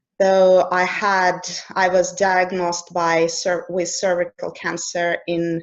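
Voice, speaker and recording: Speaking very slowly with a Russian accent, a woman talks at a medium pitch over a quiet background. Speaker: coach. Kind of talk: conversational interview.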